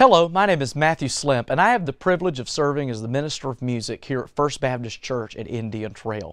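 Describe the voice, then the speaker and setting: A man talks at a fairly quick pace with lively intonation. The sound is dry with no echo, and the background is quiet. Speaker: church music minister. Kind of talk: broadcast introduction. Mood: warm, upbeat. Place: studio.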